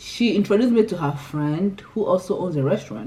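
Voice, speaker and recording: A woman's dark, mellow, somewhat breathy voice, with lively intonation at a moderate pace. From Nigeria, Imo State (Igbo). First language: Igbo. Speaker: lifestyle YouTuber. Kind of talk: casual vlog chat.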